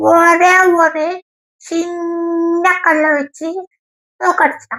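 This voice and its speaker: In a cartoonish character voice, the speaker goes at a very slow pace with an extremely high pitch. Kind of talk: children's puppet show storytelling. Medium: puppet. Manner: upbeat, playful.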